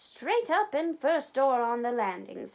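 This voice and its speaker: A woman's put-on character voice, high-pitched and fairly slow, with very wide pitch swings. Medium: read story. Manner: outraged, prim.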